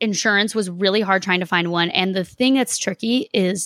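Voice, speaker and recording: A woman's normal speaking voice in an American accent, medium pitch and fairly even intonation, dry and close with no echo, on a very clean recording with a silent background. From Boston, Massachusetts. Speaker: podcast host. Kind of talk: interview.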